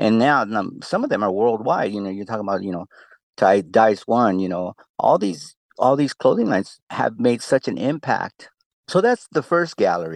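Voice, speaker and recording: With a Spanish accent, a man speaks at a moderate pace in a fairly low pitch with lively intonation, the sound dry and close with no echo against a quiet background. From Tijuana, Mexico. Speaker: exhibit creator, breakdancer and hip-hop artist. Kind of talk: interview answers.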